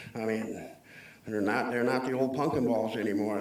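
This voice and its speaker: A man with an Upper Midwest accent talks at a moderate pace. There is audible room echo and noticeable background noise. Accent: Upper Midwest (Minnesota). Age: 60s. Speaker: public commenter. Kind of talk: public comment at a county board meeting. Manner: halting, many fillers.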